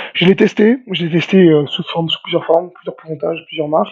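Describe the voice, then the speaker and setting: Speaking at a very fast pace, a man uses a fairly high-pitched voice. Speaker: nutritionist. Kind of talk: podcast interview, casual chat. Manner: hesitant, many repeated words; energetic, hyperactive.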